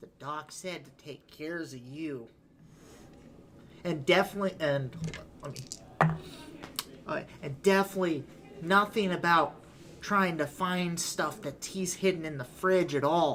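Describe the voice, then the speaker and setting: A man puts on a high-pitched character voice at a moderate pace. He leaves long, frequent pauses. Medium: actual play. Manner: gruff, gangster-ish.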